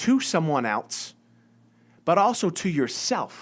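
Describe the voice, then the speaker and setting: A man speaks with a slight Massachusetts accent. His pitch swings very widely. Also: very clean recording, silent background. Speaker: business owner and success coach. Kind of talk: live-stream monologue. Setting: live video stream. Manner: casual, many fillers and repetitions.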